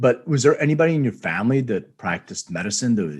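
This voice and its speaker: Very wide pitch swings mark this very fast speech in an American accent. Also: man. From Philadelphia, US. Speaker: podcast host. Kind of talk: podcast interview.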